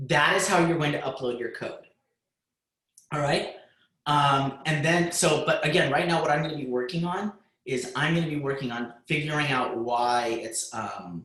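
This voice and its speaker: This man has a plain, everyday voice at a fairly high pitch. He keeps a moderate pace with ordinary pitch variation. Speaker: high school computer science teacher. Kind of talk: lecture. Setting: video call.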